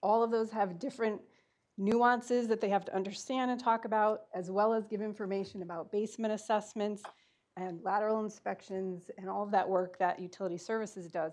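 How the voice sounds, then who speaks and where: A woman's unremarkable speaking voice, medium in pitch, at a fairly quick pace with fairly even intonation. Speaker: utility outreach manager. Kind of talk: board meeting presentation.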